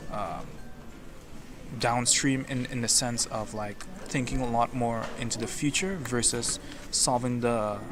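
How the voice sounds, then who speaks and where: The speaker is a man with a medium pitch. Noticeable background noise can be heard. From Caribbean (West Indies). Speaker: interviewee on the street. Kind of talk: street interview. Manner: halting.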